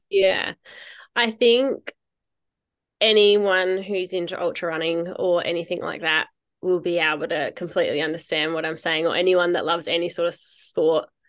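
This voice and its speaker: The speaker has an Australian accent and a moderate pace. The intonation stays fairly even over a quiet background. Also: woman, fairly low pitch for a woman. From rural South Australia. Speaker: mother and ultra runner. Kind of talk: interview testimony.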